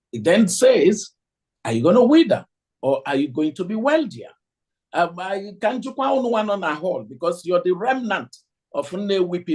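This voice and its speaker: This man speaks in a Nigerian accent at a fairly slow pace. His voice is high-pitched and makes very wide pitch swings. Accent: Nigerian Igbo English. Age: 60s. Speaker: economist lecturer. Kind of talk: lecture. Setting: hall with audience, streamed on video call.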